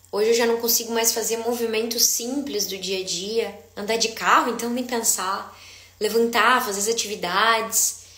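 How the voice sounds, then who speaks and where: Moderate speed and fairly high pitch from a woman, amid noticeable background noise and audible room echo. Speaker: dizziness therapist. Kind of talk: live stream Q&A talk. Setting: live stream. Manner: animated.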